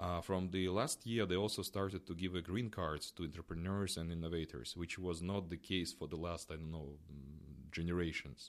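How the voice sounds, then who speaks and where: On a very clean recording with a silent background, a man speaks at a very deep, low pitch with ordinary pitch variation and hardly any pauses. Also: moderate pace. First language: Russian. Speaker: startup foundation representative. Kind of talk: interview. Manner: halting.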